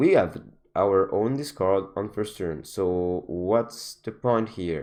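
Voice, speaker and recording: A man with a non-native accent talks at a very slow pace in a fairly low pitch. His pitch variation is ordinary, and the background is quiet. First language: not English. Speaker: gaming content creator. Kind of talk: gameplay commentary. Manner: halting.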